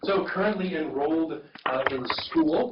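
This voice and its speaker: This is a man speaking. Noticeable background noise runs beneath him. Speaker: rural health program staff presenter. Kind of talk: informational presentation. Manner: fast. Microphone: too far from the mic, remote site can't hear.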